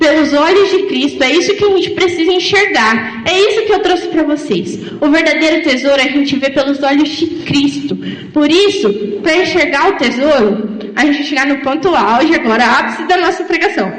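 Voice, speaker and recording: Over noticeable background noise and audible room echo, a woman with a high pitch talks at a moderate pace, her intonation lively and her loudness very even. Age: 20s. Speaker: lay preacher. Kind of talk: sermon.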